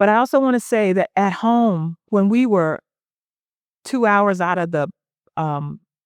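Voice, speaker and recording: With a Southern US accent, the speaker moves at a fairly slow pace, using lively intonation and long, frequent pauses, in a dry, close sound with no echo. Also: woman, medium pitch for a woman. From US South, South Carolina (Sumter). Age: 60s. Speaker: poet. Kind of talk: onstage interview. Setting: live event with audience.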